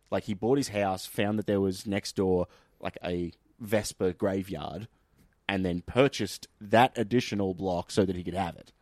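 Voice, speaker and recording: At a moderate pace with fairly even intonation, the voice swings widely in loudness, captured as a very clean recording with a silent background and a dry, close sound with no echo. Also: man, fairly low pitch for a man. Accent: Australian. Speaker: podcast host. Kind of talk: casual comedic chat.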